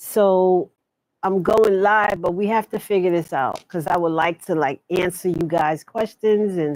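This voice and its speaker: Her pitch medium and ordinarily varied, a woman speaks at a fairly slow pace. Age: 60s. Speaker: live show host. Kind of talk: casual live stream talk. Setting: live stream.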